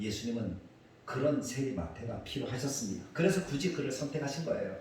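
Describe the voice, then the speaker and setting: Very wide pitch swings from a man, amid noticeable background noise and audible room echo. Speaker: pastor. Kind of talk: sermon.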